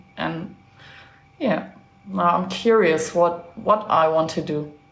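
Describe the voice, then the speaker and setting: Very slow speech with ordinary pitch variation, noticeable background noise and audible room echo. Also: woman, fairly low pitch for a woman. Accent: German. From Germany. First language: German. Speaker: traveler. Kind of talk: casual chat.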